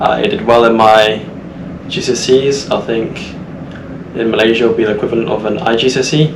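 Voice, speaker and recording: Amid noticeable background noise and audible room echo, a man with an English Midlands accent talks at a moderate pace, medium pitch and fairly even intonation. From central England. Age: 20s. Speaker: cadet seafarer. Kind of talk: casual podcast interview.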